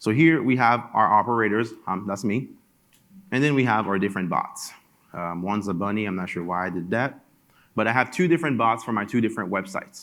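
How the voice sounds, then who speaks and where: A fairly low-pitched man with a French accent talks at a fairly quick pace in a very clean recording with a silent background. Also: ordinary pitch variation. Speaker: product presenter at a conference. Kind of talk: conference talk with software demo. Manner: casual, conversational.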